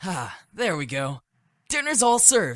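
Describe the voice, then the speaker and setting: A man's put-on character voice at a fairly slow pace, with very wide pitch swings. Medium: video game. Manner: friendly, casual.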